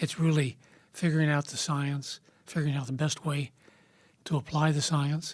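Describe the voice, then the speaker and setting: Speaking in an American accent, a man with a fairly high pitch and a somewhat breathy voice keeps a flat, monotone intonation at a moderate pace, broken by long, frequent pauses. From US Midwest, Kansas. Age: 70s. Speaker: investment firm founder. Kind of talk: interview. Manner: casual, conversational.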